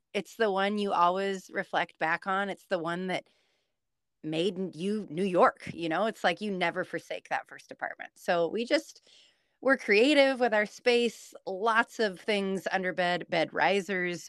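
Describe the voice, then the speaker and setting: Woman with an American accent and a normal speaking voice, medium pitch, ordinary pitch variation and a fairly slow pace, in a very clean recording with a silent background and a dry, close sound with no echo. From Washington State, US Pacific Northwest. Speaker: blogger. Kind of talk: casual interview.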